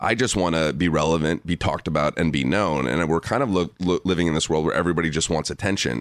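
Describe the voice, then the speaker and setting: The recording is very clean, with a silent background. A Californian accent with vocal fry comes through at a very fast pace. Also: man. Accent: General American, California. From Los Angeles. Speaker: documentary filmmaker. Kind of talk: casual interview chat. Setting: studio.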